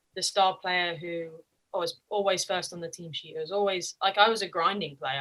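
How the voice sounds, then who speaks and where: A woman speaks with an English accent. Her pitch is fairly low. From England. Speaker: college soccer player. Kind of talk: interview.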